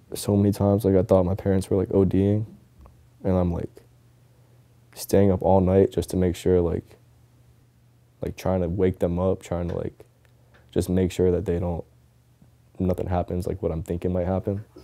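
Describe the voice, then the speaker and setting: Soft-spoken and very deep, a man with an American accent talks at a moderate pace in a dark, mellow tone with monotone, flat intonation and long, frequent pauses. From Tampa, Florida. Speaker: professional skateboarder. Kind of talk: documentary interview answer. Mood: soft-spoken, reflective, somber. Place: home room.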